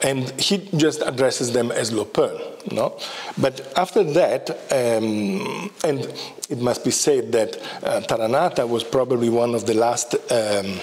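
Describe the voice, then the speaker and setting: Noticeable background noise accompanies a man who speaks at a fairly slow pace. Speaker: professor of Tibetan studies. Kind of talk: lecture. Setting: lecture hall with audience. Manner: halting, many fillers.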